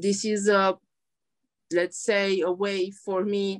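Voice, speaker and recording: A woman at a medium pitch, the sound dry and close, without echo. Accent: Romanian. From Romania. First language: Romanian. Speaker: poet and translator. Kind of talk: interview. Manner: halting.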